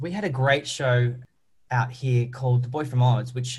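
Somewhat breathy male voice in an Australian accent. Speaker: musical theatre performer. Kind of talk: interview. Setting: remote call.

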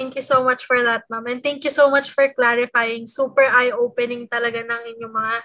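Bright, sharp tone at a moderate pace. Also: woman. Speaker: student podcast co-host. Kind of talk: interview.

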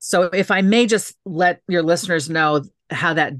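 Over a quiet background, a woman with an American accent has an unremarkable speaking voice. Her pitch is fairly low, and the sound is dry and close with no echo. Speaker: author and city council member. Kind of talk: interview.

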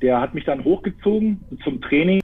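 The speaker is a man with ordinary pitch variation. He goes at a fairly slow pace. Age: 30s. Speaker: football player and assistant coach. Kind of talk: casual live talk interview. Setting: live stream.

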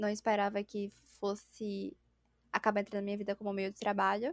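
Recorded very cleanly with a silent background and a dry, close sound with no echo, a woman speaks at a fairly high pitch. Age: 20s. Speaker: streamer and interior designer. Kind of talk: casual chat.

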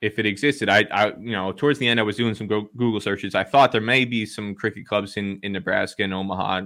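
Speaking at a very fast pace with a New Jersey accent, a man has a fairly low pitch and a bright, sharp tone, in a very clean recording with a silent background. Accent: New Jersey American. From US, New Jersey. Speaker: cricket journalist. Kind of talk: interview.

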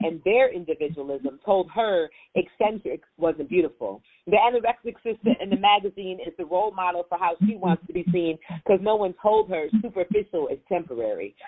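A woman with a normal speaking voice, medium pitch, ordinary pitch variation and a fairly quick pace. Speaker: poet and political candidate. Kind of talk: poetry reading. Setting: phone call.

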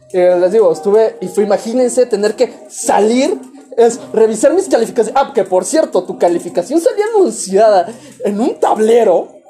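Lively intonation over noticeable background noise. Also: man, moderate pace. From Mexico, Veracruz. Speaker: podcast host. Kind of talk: casual chat.

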